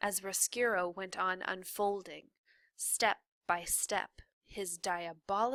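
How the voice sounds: Little sound comes from the background. The text is delivered in a natural reading voice.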